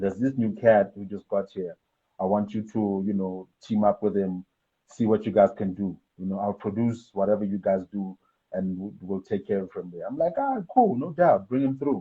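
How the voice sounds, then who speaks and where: A man's fairly low voice at a moderate pace, with ordinary pitch variation. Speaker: rapper and music producer. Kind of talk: interview, casual chat.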